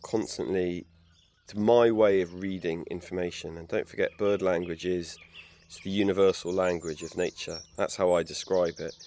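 In an English accent, a man speaks with a very deep, low pitch, a dark, mellow tone and fairly even intonation. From England. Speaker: naturalist and bird expert. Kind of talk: interview monologue.

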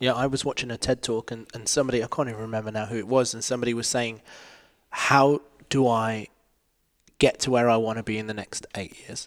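Speaking at a very fast pace, a man holds a medium pitch in a monotone, flat intonation. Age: 30s. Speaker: choreographer and dance studio owner. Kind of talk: casual chat. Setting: live recording with audience.

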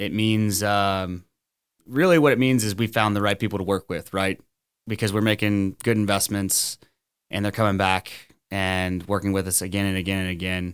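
A man with an American accent speaks in an unremarkable speaking voice, fairly low in pitch, at a moderate pace with fairly even intonation. The recording is very clean, with a silent background. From Texas, Orange (Gulf Coast near Louisiana). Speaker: lending executive and incoming podcast host. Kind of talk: casual chat.

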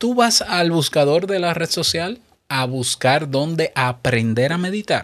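Here is an ordinary speaking voice from a man. He talks at a fairly slow pace. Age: 30s. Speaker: podcast host. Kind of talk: solo podcast monologue. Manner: conversational.

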